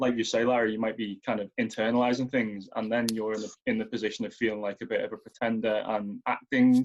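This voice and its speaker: A man with a Merseyside accent at a medium pitch, very fast with hardly any pauses and a monotone, flat intonation. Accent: relatively soft Merseyside. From Merseyside, England. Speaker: writer and editor. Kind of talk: panel discussion.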